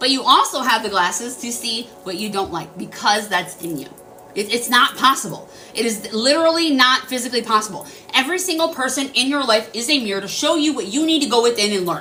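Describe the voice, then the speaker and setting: Over noticeable background noise, a woman speaks loudly at a high pitch, with an animated tone and lively intonation. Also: fairly quick pace. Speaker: spiritual livestreamer. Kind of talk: casual livestream talk. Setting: livestream.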